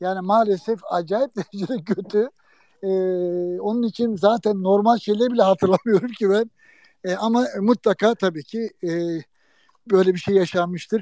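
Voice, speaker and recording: At a moderate pace, a man with a high pitch and a dark, mellow tone speaks in fairly even intonation, taking long, frequent pauses, the sound dry and close with no echo. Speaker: former sports photojournalist and TV man. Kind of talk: casual chat.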